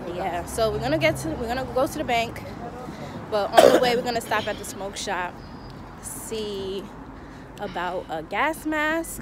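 A woman pauses often and at length as she talks, with loud noise behind her. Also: moderate pace, dry sound with no echo. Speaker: vlogger. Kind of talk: casual vlog chat.

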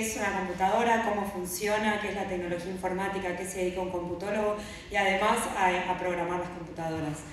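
A woman is speaking in strong room echo. There is light background noise. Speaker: speaker. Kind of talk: conference talk. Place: stage.

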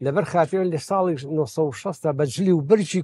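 The tone is dark and mellow, with lively intonation at a moderate pace. The sound is dry, with no echo. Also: man. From Iraqi Kurdistan, Sulaymaniyah; Iraqi Kurdistan. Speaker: baker and photo archive collector; interviewee. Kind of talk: interview.

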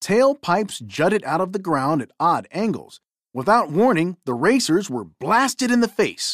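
A quiet backdrop behind reading aloud in a natural voice

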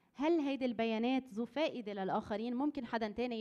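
A fairly high-pitched woman with a Lebanese accent, talking at a fairly quick pace against a quiet background. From Lebanon. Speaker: conference presenter. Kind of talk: workshop presentation. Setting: conference hall with audience. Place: hall. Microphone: podium.

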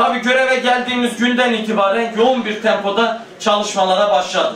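With a high pitch and fairly even intonation, a man speaks amid audible room echo and light background noise. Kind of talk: formal speech. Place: hall.

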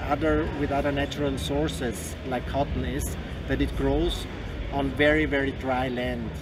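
Noticeable background noise is present. Over it a man talks at a moderate pace. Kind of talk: interview answer. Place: hall. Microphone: handheld.

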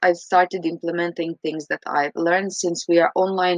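A woman's fairly low-pitched voice in a Croatian accent, with fairly even intonation at a moderate pace, dry with no echo, against a quiet background. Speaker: English teacher. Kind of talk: recorded reflection. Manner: hesitant, frequent fillers. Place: home room. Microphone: webcam.

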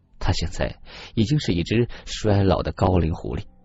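Reading in a natural voice

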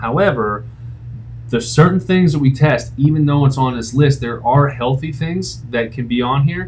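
A man talks at a medium pitch with ordinary pitch variation. Light background noise is present. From Pittsburgh, Pennsylvania. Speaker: functional medicine doctor; doctor reviewing his own test. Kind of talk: casual video explainer. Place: home room. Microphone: webcam.

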